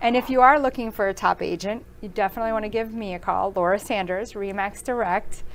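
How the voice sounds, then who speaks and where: A woman at a fairly high pitch, talking very fast with hardly any pauses and fairly even intonation. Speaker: real estate agent and podcast host. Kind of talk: casual interview.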